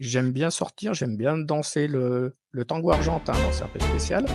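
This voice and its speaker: Over music in the background, a man speaks at a medium pitch and a moderate pace, with a dry, close sound and no echo. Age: 50s. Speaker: technical development manager. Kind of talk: testimonial interview answer. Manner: hesitant, many fillers.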